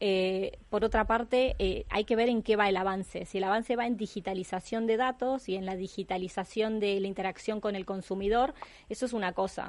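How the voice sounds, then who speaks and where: A woman with a Uruguayan accent speaks at a moderate pace, her pitch medium and her intonation fairly even. She hardly pauses, and the background is quiet. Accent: Rioplatense (Uruguayan) Spanish. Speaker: insurtech specialist. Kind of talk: panel discussion.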